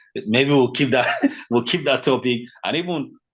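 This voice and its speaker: A man with a Nigerian accent. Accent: Nigerian (Yoruba) English. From Nigeria, western (Yoruba). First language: Yoruba. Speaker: fitness consultant. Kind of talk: podcast interview. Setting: podcast. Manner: animated, conversational with fillers.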